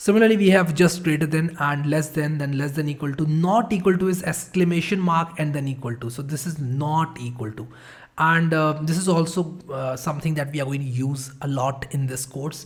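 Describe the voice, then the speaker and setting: This man's somewhat breathy voice sits fairly high, moving at a fairly quick clip with hardly any pauses and ordinary pitch variation. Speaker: programming instructor. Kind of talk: tutorial.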